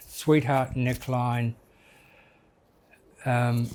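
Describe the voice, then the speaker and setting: Very slowly and in a monotone, flat intonation, a man talks at medium pitch with a dark, mellow tone. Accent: Australian. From Australia, Melbourne. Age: 60s. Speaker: drag queen. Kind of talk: interview. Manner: halting.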